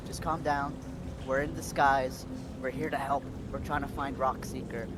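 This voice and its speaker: A man whispers quietly in a put-on character voice, breathy throughout. He keeps a moderate pace over noticeable background noise. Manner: whispering urgently.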